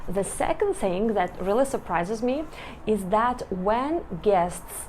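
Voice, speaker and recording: A woman in a Russian accent speaks at a medium pitch and a fairly slow pace. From Belarus. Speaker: vlogger. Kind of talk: casual vlog talk to camera. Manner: halting, with hesitations and restarts.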